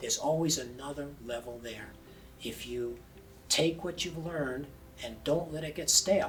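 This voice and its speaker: A man speaks with ordinary pitch variation and long, frequent pauses over noticeable background noise. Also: fairly high pitch for a man, moderate pace. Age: 70s. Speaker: blind triathlete. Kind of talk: interview answer.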